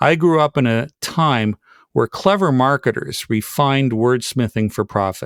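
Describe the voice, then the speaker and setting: With an ordinary speaking voice at medium pitch, a man speaks fairly slowly and with lively intonation in a very clean, dry, close recording with no echo and a silent background. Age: 60s. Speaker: podcast host. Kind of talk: scripted narration.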